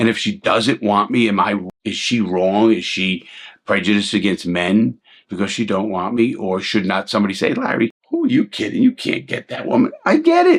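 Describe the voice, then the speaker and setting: Speaking at a moderate pace, a man talks with a New York accent. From New York City (Bronx, Brooklyn). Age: 60s. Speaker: ex-convict YouTuber and commentator. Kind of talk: casual commentary monologue. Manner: halting, repeated words; blunt and direct.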